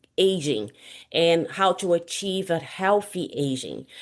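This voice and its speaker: A woman speaks very slowly in a Brazilian accent, with ordinary pitch variation. The background is quiet. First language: Portuguese. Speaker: sleep scientist and nurse. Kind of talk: podcast interview.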